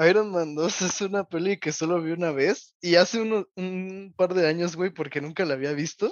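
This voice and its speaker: Hardly any pauses, in a Mexican accent. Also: moderate pace. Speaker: podcast co-host. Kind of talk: casual chat.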